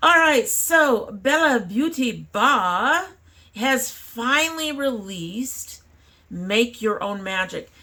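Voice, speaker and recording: Bright and sharp in tone, a woman's high voice swings very widely in pitch and shifts a lot in loudness. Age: 60s. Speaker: beauty vlogger. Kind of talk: product review. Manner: halting.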